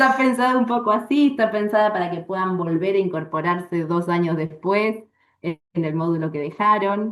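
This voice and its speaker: A woman with an Argentine accent, medium pitch, lively intonation and a moderate pace. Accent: Rioplatense Argentine Spanish. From Argentina, Bariloche (Patagonia). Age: 40s. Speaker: astrologer and astrology teacher. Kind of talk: interview.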